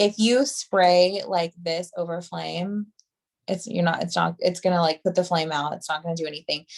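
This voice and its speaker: A woman has an ordinary speaking voice with a fairly low pitch. She talks at a moderate pace with ordinary pitch variation. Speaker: hairstylist and product trainer. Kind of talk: product training on video call. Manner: casual, filler-heavy.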